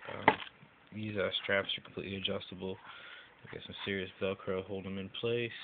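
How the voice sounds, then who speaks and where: With noticeable background noise behind him, a man speaks at a fairly quick pace in a fairly low pitch, his intonation monotone and flat, with long, frequent pauses and big swings in loudness. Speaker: YouTuber doing gear reviews. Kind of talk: product review. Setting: home video recorded on phone. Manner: hesitant with many fillers.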